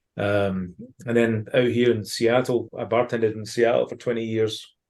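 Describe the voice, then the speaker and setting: A man with a strong Ayrshire accent, monotone and flat in intonation. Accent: Ayrshire Scottish accent, still strong. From Scotland, Ayrshire. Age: 40s. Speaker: former professional footballer and baseball fan. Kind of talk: casual podcast interview.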